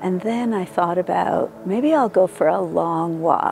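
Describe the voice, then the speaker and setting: Music plays in the background as a woman speaks. Her medium-pitched voice has lively intonation and a moderate pace. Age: 60s. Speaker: barefoot walking advocate. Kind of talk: interview answer.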